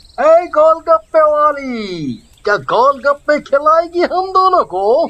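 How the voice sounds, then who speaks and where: In a cartoonish character voice, the speaker uses a high pitch and a very slow pace. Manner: cocky, slangy.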